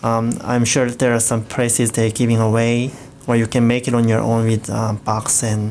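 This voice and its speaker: A man with a Korean accent at a moderate pace, very even loudness, noticeable background noise. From South Korea. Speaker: co-host. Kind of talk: radio show chat.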